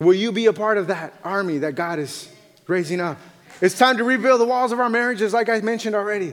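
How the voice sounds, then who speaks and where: A man with a high pitch and ordinary pitch variation at a very fast pace, over noticeable background noise. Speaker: missionary pastor. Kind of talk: sermon. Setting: church.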